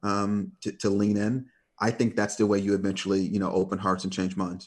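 Someone speaks with an American accent over a quiet background. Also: man. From Detroit, US Midwest. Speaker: corporate communications executive. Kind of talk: interview conversation. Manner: hesitant, many fillers.

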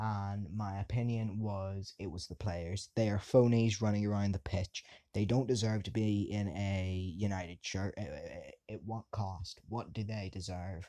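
In an English accent, a man speaks at a fairly low pitch with a dark, mellow tone and fairly even intonation. His pace is fairly slow with hardly any pauses, in a very clean recording with a silent background. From England. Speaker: football fan podcaster. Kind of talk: monologue rant.

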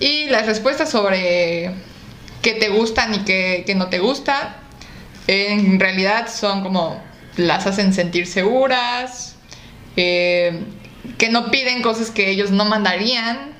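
In a Mexican accent, a woman of medium pitch speaks at a very slow pace with long, frequent pauses and very even loudness, amid audible room echo and noticeable background noise. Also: ordinary pitch variation. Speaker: podcast co-host. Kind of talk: casual chat.

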